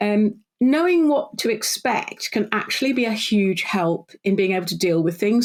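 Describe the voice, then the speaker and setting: A woman speaks with a British accent and lively intonation. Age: 60s. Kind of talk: podcast interview.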